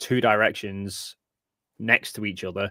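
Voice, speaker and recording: The sound is dry and close with no echo as a man speaks fairly slowly in an English accent. His fairly low voice has a bright, sharp tone and monotone, flat intonation. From England. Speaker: science communicator, flat earth debunker. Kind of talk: interview.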